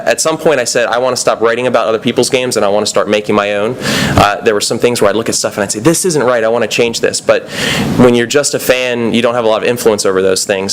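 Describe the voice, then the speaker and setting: A man's medium-pitched, very fast speech amid noticeable background noise. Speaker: game designer. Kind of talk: conference talk. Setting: stage with audience. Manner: words run together.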